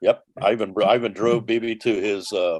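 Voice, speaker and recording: In a New Orleans accent, a man with a fairly low voice talks with fairly even intonation, the sound dry and close with no echo. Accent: New Orleans Southern US. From New Orleans, US South. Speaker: former tour bus driver. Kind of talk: interview storytelling. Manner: halting, many fillers and restarts.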